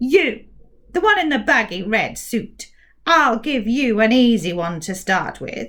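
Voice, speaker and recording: A woman speaks. She uses a put-on character voice. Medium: read story. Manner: very careful, over-precise enunciation.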